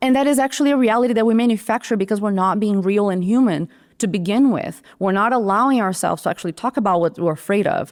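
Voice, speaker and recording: A woman speaks at a very fast pace with lively intonation and a fairly high pitch. She has a Brazilian Portuguese accent. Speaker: creative director, design leader. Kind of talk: podcast interview. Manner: animated.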